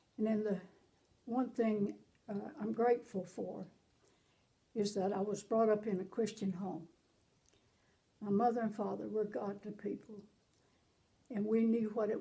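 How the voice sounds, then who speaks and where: Speaking with a Southern US accent, a woman uses fairly even intonation, a dark, mellow tone and vocal fry, leaving long, frequent pauses. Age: 80s+. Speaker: pastor. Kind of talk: interview testimony.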